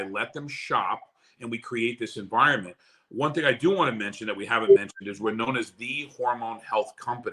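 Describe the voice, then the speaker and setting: This man's tone is bright and sharp. He sounds animated. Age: 60s. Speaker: network marketing leader. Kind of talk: live webinar pitch. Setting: livestream.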